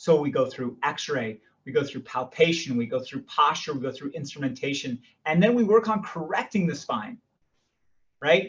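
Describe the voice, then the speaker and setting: Lively in intonation, a man's somewhat breathy voice sits at a fairly high pitch. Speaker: chiropractor. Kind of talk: health workshop talk. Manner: fast.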